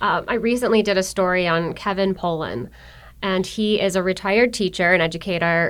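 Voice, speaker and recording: In a very clean recording with a silent background, a woman speaks with a plain, everyday voice and an American accent. Her pitch is medium, her pace moderate and her intonation fairly even. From Buffalo, New York. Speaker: economic development marketer for a utility. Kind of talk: podcast interview. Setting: studio in a business innovation building.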